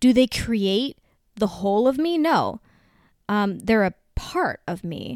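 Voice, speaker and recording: A woman with a normal speaking voice and a dry, close sound with no echo. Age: 30s. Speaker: podcast host. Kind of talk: casual monologue.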